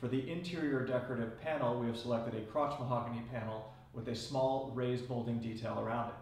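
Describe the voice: Amid audible room echo, a man of medium pitch speaks at a fairly quick pace, with fairly even intonation and a slightly mellow tone.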